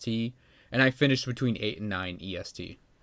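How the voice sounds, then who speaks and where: In a Midwestern accent, the speaker goes at a moderate pace on a very clean recording with a silent background. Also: man. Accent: flat Midwestern. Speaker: video game streamer. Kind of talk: casual livestream chat. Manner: casual, halting with fillers.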